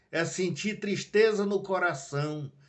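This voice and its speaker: This man's voice shows ordinary pitch variation. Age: 70s. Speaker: lay preacher. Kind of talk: sermon. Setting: home video live stream.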